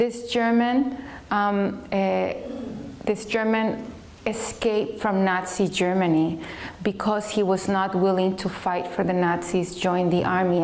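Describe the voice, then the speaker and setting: A woman's medium-pitched voice at a fairly slow pace, with very even loudness, audible room echo and noticeable background noise. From Chile. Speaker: speaker giving life story talk. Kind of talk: testimony. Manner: hesitant, many fillers.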